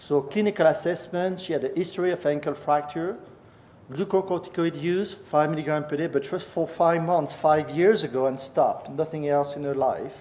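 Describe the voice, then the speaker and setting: Over noticeable background noise, a man with a French-Swiss accent talks at a moderate pace and fairly high pitch with fairly even intonation. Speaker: professor. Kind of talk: lecture.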